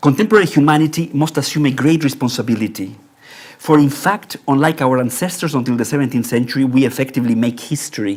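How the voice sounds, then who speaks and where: In a Spanish accent, a man speaks at a very fast pace. His voice is fairly high, with ordinary pitch variation. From Mexico. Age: 60s. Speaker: architecture professor. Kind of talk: lecture. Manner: formal; halting.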